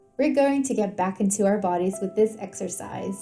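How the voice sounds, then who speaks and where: A woman's medium-pitched, calm voice at a moderate pace with ordinary pitch variation, music in the background. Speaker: homeopath. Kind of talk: guided meditation. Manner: calm, soft-spoken.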